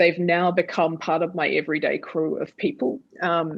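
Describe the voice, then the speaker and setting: The speaker is a woman with an Australian accent. Her pitch sits fairly low. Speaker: theatre artist and dramaturg. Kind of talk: panel discussion.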